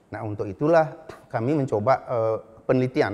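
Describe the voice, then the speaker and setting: A man speaks at a moderate pace. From Bali, Indonesia (Karangasem); Bali, Indonesia. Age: 60s. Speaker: animal science professor; university professor. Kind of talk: lecture. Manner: halting. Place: office. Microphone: lapel.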